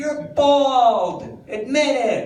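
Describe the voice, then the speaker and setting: Noticeable noise fills the background. The voice belongs to a man. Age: 60s. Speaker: stand-up comedian. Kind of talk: stand-up. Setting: stage with audience.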